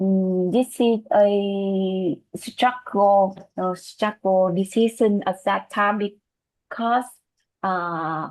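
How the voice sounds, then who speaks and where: Speaking very slowly with a Vietnamese accent, a woman keeps a medium pitch and fairly even intonation. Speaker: student. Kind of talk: class discussion. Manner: halting, many fillers.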